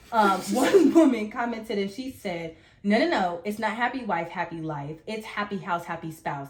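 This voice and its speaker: Over noticeable background noise, a woman at medium pitch uses lively intonation and big swings in loudness. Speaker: podcast co-host. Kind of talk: casual chat. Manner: fast.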